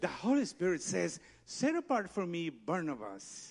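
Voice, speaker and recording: Speaking with a Spanish accent, a man sounds animated, his pitch swinging very widely. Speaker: pastor. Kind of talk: sermon. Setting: church.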